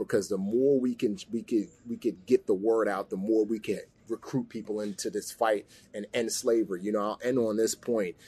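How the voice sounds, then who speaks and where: At a moderate pace, a man with an American accent speaks in a dark, mellow tone at a medium pitch with fairly even intonation. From New York (the Bronx). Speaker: former Navy SEAL and actor. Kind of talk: interview.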